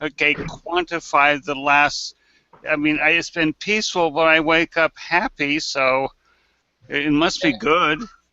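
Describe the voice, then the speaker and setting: An ordinary speaking voice at a fairly slow pace. Loudness stays very even, with ordinary pitch variation. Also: man, fairly high pitch for a man. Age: 60s. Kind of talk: casual chat.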